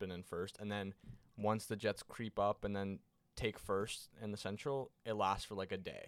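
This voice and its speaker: An unremarkable speaking voice from a man, fairly low in pitch, at a moderate pace on a very clean recording with a silent background. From Canada. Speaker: hockey podcast co-host. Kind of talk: casual chat.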